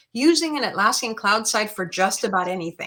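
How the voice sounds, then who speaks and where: This woman speaks at a medium pitch. Her tone is bright and sharp. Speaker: certification presenter. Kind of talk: Q&A at a virtual tech meetup. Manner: fast.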